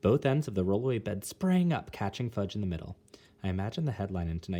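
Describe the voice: The voice reads aloud plainly, with lively intonation.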